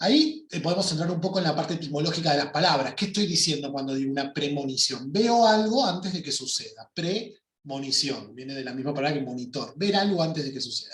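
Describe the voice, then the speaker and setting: Talking at a very fast pace with hardly any pauses, the speaker has a Rioplatense accent and ordinary pitch variation. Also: man, fairly high pitch for a man. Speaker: workshop teacher. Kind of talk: online workshop lecture.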